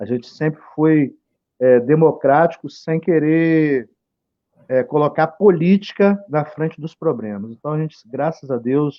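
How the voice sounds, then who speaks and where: Speaking at a fairly slow pace, a man with a fairly high pitch has ordinary pitch variation and an unremarkable speaking voice. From Campos area, Rio de Janeiro state, Brazil. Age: 40s. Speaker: local political candidate. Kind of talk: live stream interview. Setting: Facebook live stream.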